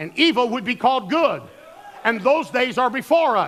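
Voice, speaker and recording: A man's extremely high-pitched, fairly quick delivery with lively intonation and an American accent. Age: 60s. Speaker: pastor. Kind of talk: sermon.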